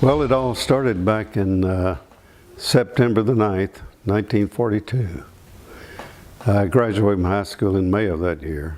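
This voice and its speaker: With an American accent, a man speaks at a moderate pace and fairly low pitch, with ordinary pitch variation and a dark, mellow tone. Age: 80s+. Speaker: war veteran. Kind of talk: interview answer.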